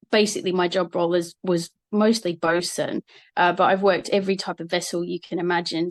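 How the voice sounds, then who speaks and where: A woman with an Australian accent, fairly low in pitch and monotone, flat in intonation, in a dry, close sound with no echo and a quiet background. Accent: Australian, changed a little over time. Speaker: marine operations manager. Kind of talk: talk to students. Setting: live streamed assembly.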